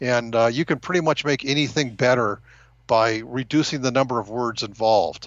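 This man has an American accent and a medium pitch with ordinary variation. He talks at a fairly quick pace. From California, San Gabriel Valley near Los Angeles. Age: 60s. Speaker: novelist and marketing professional. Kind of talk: interview conversation. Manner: halting with many fillers.

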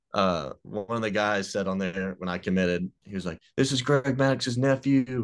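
This man has a fairly low voice and ordinary pitch variation. He speaks at a moderate pace in a Mississippi accent. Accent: US Southern (Mississippi). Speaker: college baseball pitcher. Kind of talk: casual interview.

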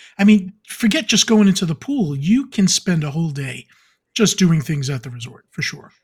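A man's high-pitched voice at a fairly quick clip, with very wide swings in pitch. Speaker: podcast co-host. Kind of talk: casual chat.

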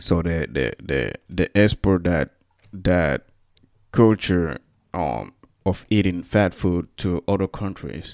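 A man's very deep, low voice carries vocal fry and lively intonation at a very slow pace. The sound is dry and close with no echo. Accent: Central African. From Equatorial Guinea. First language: Spanish. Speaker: podcast host. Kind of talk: casual monologue, solo podcast talk. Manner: halting, many fillers and restarts.

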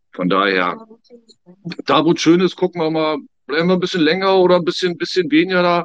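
A man's high voice at a fairly quick pace, with ordinary pitch variation and long, frequent pauses. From Germany. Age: 50s. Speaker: emigrant. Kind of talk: casual chat.

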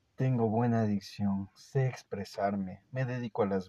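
A fairly low-pitched man with a dark, mellow tone at a fairly slow pace, in a dry, close sound with no echo. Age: 30s. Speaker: podcaster sharing personal reflections. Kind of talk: personal monologue. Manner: animated.

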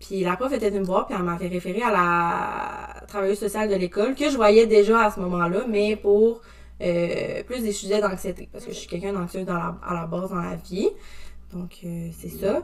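Noticeable background noise sits behind a woman speaking at a medium pitch and moderate pace. Her loudness swings a lot, with ordinary pitch variation. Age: 20s. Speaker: social work technician. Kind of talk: testimony.

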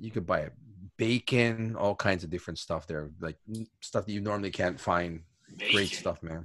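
A man speaks with a fairly low pitch. He leaves long, frequent pauses. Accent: Hawaiian. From Hawaii. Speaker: podcast co-host, English teacher. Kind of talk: casual chat.

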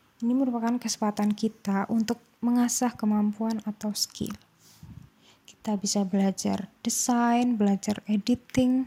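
Her voice is fairly high, somewhat breathy and dark and mellow in tone, with very even loudness and monotone, flat intonation. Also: fairly slow pace, dry, close sound with no echo. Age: 20s. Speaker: university student. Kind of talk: solo talk.

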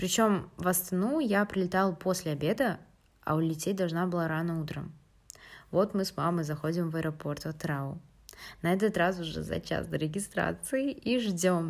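A woman with a normal speaking voice, fairly low in pitch, at a moderate pace with ordinary pitch variation, on a very clean recording with a silent background. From Kazakhstan, Atyrau. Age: 18. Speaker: university student. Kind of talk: personal storytelling.

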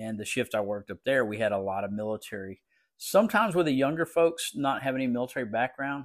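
In a South Texas accent, a man speaks at a medium pitch with ordinary pitch variation, the sound dry and close with no echo. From Texas Coastal Bend. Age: 60s. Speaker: police chief. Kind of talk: interview. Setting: remote recording.

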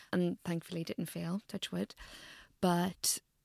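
At a moderate pace, a woman with an Irish accent speaks at a fairly low pitch, recorded very cleanly against a silent background with a dry, close sound and no echo. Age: 30s. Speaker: medical doctor and nutritionist. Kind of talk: interview conversation. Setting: in person in Central London.

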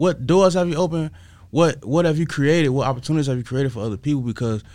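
Speaking at a very fast pace, a man with an American accent uses lively intonation. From Chicago West Side. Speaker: art curator and fashion designer. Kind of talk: interview.

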